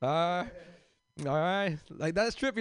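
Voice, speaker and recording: A high-pitched man with an American accent, ordinary pitch variation and a moderate pace against a quiet background. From South Central Los Angeles. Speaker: comedian and teacher. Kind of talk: stand-up.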